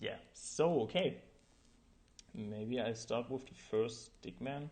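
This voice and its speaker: With a German accent, a man speaks very slowly at a medium pitch with ordinary pitch variation. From Germany. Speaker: animator streamer. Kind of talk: live stream tutorial. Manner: halting, many fillers.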